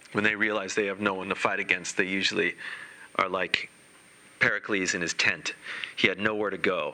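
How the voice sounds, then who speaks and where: A man speaks fairly quickly over noticeable background noise. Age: 40s. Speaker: Zen dharma teacher. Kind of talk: dharma talk.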